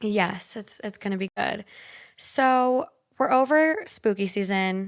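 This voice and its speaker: In a very clean recording with a silent background, a woman speaks very slowly at a medium pitch. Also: ordinary pitch variation. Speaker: podcast co-host. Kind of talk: casual chat.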